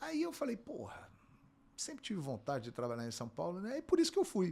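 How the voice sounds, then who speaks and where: Speaking at a fairly quick pace in a Carioca accent, a man has a high voice with a dark, mellow tone and very wide pitch swings. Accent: carioca Brazilian Portuguese. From Rio de Janeiro, Brazil. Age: 50s. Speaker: sports broadcaster and play-by-play narrator. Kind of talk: interview.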